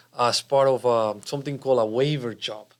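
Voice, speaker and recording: A man speaks with a Spanish accent at a medium pitch and fairly even intonation. The recording is very clean, with a silent background. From Colombia. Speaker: cardiologist. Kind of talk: interview.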